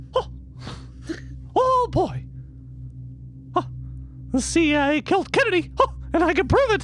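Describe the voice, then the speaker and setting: The speaker uses a put-on character voice at a moderate pace with long, frequent pauses. Clear background noise runs behind it. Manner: goofy.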